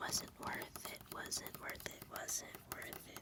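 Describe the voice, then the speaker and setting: Whispering from a woman with an American accent, very slow, over noticeable background noise. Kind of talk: ASMR whispered rambling. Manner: whispered.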